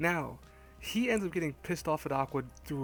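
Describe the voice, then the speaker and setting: Fairly quick speech from a man, music playing behind him. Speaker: anime reviewer. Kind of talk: casual review talk to camera. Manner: quiet, hushed.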